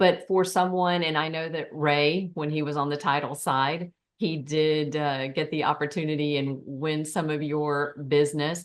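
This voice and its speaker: In a rural Southern US accent, a woman speaks with a very deep, low pitch and monotone, flat intonation. Her pace is moderate, with hardly any pauses. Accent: Southern rural pronunciation of realtor. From Tennessee, US South. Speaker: forum host. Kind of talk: panel discussion.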